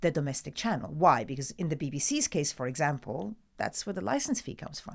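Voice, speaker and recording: A woman with an Italian accent, fairly quick pace and very wide pitch swings, on a very clean recording with a silent background. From Italy. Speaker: TV news presenter. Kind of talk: interview answer.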